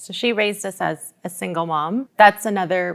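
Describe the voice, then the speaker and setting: A woman with a Canadian accent and a fairly low pitch speaks at a moderate pace in a plain, everyday voice. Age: 30s. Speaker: daughter in interview. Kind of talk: interview.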